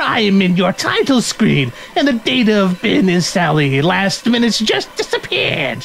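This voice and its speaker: Someone performs a put-on character voice at a moderate pace, with clear background noise behind it. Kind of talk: comic game dialogue read-aloud. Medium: game stream. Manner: taunting, theatrical.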